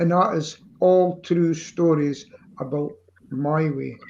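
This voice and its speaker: A man with a Scottish accent, very slow in pace, with ordinary pitch variation. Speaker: amateur singer. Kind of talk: casual chat.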